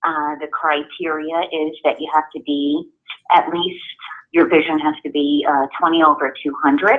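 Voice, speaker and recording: With a New York accent, a woman speaks at a moderate pace in a very deep, low pitch and monotone, flat intonation. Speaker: guide dog school outreach representative. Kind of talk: presentation to a group.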